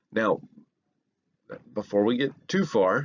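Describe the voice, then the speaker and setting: A man in a Southern US accent talks at medium pitch with ordinary pitch variation. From US South. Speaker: history professor. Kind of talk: lecture. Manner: halting, many fillers.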